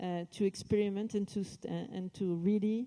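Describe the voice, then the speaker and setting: A woman with a French accent, medium in pitch, dark and mellow in tone, with ordinary pitch variation at a moderate pace. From France. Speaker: company executive. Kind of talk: corporate event speech.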